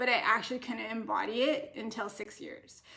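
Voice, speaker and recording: At a moderate pace, a woman speaks in an ordinary speaking voice, fairly high in pitch with typical pitch variation. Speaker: naturopathic doctor hosting live stream. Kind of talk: live stream Q&A. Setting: Facebook live video.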